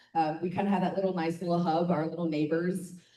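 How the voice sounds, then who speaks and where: Audible room echo surrounds the speaker. She is a woman with a fairly low pitch. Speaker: community member, chamber of commerce board member. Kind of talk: public comment at neighborhood meeting. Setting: community meeting with audience.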